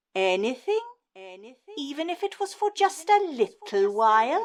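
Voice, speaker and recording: A put-on character voice moves at a moderate pace, with very wide pitch swings and big swings in loudness. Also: woman, extremely high pitch for a woman. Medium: stage play.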